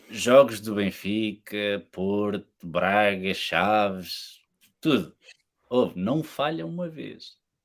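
The recording is very clean, with a silent background. A man with a fairly low pitch speaks very slowly, his intonation lively. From Portugal. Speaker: podcast guest. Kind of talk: casual chat.

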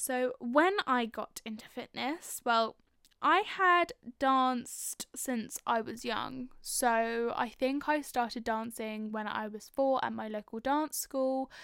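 A woman with a London accent speaks very slowly at a high pitch. Her tone is bright and sharp, with ordinary pitch variation. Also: dry, close sound with no echo. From North London. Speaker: podcast host. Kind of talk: casual personal monologue.

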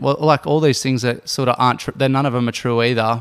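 A man with an Australian accent. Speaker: professional Ironman athlete. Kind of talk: casual chat.

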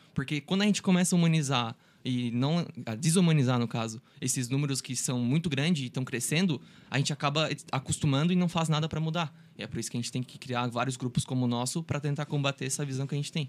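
With a fairly high voice, a man talks very rapidly. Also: ordinary pitch variation. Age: 20s. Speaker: law student, volunteer group member. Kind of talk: casual chat.

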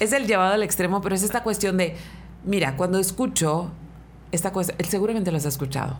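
A woman's very fast speech in a northern Mexican accent, with ordinary pitch variation, very even loudness and audible room echo. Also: medium pitch for a woman. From Mexicali, Baja California, Mexico. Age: 40s. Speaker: radio host. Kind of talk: casual chat. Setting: studio.

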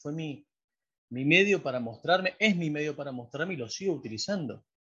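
A man talks at a fairly quick pace in an Argentine accent. His pitch swings very widely. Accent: Argentine Spanish (voseo). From Argentina. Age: 40s. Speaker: painter and graphic designer. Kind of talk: casual interview.

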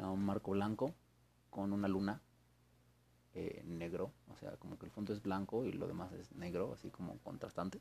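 A man with a Mexican accent speaks in a fairly low pitch with a dark, mellow tone and long, frequent pauses. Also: ordinary pitch variation, moderate pace. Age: 20s. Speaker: university student podcaster. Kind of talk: casual monologue. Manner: rambling, halting.

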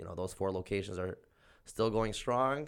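A plain, everyday voice speaks at a fairly quick pace in an American accent. The recording is very clean, with a silent background. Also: man. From Southern California (Oxnard). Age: 30s. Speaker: small business owner. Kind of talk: casual interview chat.

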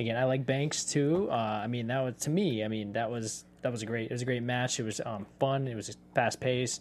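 A man with an ordinary speaking voice, medium pitch, fairly even intonation, a fairly quick pace and hardly any pauses. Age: 50s. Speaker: panelist. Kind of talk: casual chat.

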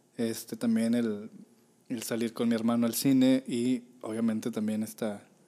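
At a moderate pace, a man talks in a dark, mellow tone at medium pitch with monotone, flat intonation. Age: 30s. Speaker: podcast co-host. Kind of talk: casual chat.

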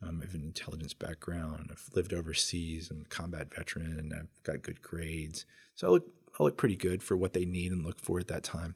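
A man speaks in a very deep, low, somewhat breathy voice at a fairly quick pace, his intonation monotone and flat. His loudness swings widely. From South America. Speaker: Marine Corps veteran and business owner. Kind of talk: testimony. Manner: halting.

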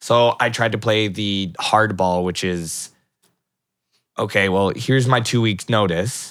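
Speaking in a plain, everyday voice with a Canadian accent, a man keeps a fairly low pitch and fairly even intonation on a very clean recording with a silent background. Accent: general Canadian. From Vancouver area, Canada. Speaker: parkour gym co-owner. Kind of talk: casual interview.

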